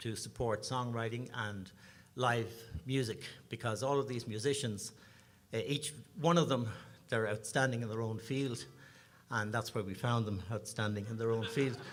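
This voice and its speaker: Moderate-paced speech from a man at medium pitch with an Irish accent, fairly even intonation, long, frequent pauses and audible room echo. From Ireland, Dublin. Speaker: singer-songwriter, bandleader. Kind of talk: stage banter at a concert. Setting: stage with audience.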